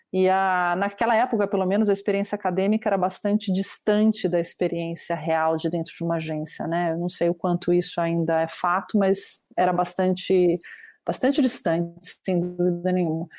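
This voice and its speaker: A woman with a normal speaking voice talks at a moderate pace and medium pitch, with fairly even intonation and hardly any pauses, in a very clean recording with a silent background. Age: 40s. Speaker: marketing executive. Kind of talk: interview.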